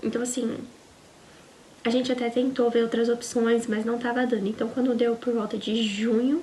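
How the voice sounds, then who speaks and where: A woman speaks in a high pitch with a Brazilian accent and monotone, flat intonation. Noticeable background noise sits behind her. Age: 20s. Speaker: au pair vlogger. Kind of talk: casual personal vlog storytelling.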